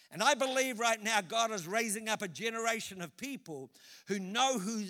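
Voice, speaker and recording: With a New Zealand accent, a man projects a raised voice with a bright, sharp tone at a moderate pace on a very clean recording with a silent background. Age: 60s. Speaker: pastor. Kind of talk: sermon. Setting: church.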